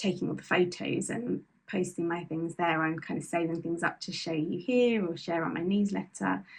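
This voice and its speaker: A woman talks at a fairly quick pace with vocal fry in her voice. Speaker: knitting podcaster and small business owner. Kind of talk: casual monologue to camera. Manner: fast.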